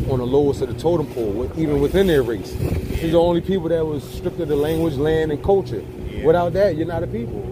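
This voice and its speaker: A man talks at a very fast pace in a dry sound with no echo. Noticeable background noise runs underneath. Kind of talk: casual conversation. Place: boat.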